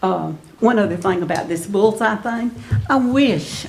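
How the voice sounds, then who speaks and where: A woman with a Mississippi accent speaks at a fairly slow pace, with audible room echo and noticeable background noise. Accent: Mississippi Southern. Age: 70s. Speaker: resident speaking at public comment. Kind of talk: public comment at council meeting.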